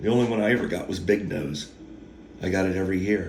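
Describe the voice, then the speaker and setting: A man's voice with audible room echo. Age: 50s. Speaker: YouTube storyteller. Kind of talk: casual monologue. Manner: halting.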